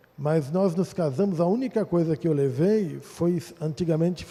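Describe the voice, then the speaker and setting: The pace is fairly slow. A man speaks at a high pitch. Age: 60s. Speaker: pastor. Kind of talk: testimony. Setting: church.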